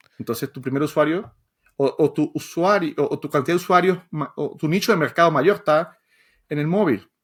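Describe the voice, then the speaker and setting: A man's fairly high voice at a fairly quick pace, ordinary pitch variation, on a very clean recording with a silent background. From Venezuela. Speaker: software developer and educator. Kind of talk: podcast interview. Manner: halting, many repetitions.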